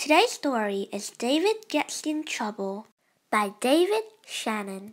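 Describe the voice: A woman talks slowly in a fairly high voice. Her pitch makes big swings.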